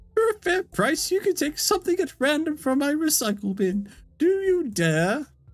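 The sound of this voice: This put-on character voice sits at a high pitch and makes very wide pitch swings. The pace is moderate.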